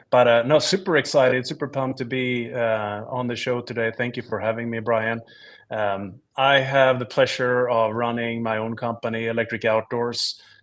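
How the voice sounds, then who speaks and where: Over a quiet background, a man with a Swedish accent talks at a moderate pace with fairly even intonation. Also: medium pitch for a man. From Sweden. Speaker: startup founder. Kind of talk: casual chat.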